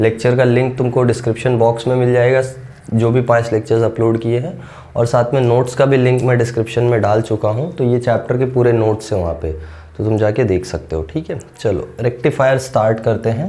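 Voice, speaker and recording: Heard with audible room echo, a man speaks at a moderate pace in a medium pitch, his dark, mellow tone somewhat breathy and his pitch varying in an ordinary way. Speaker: physics teacher. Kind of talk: lecture.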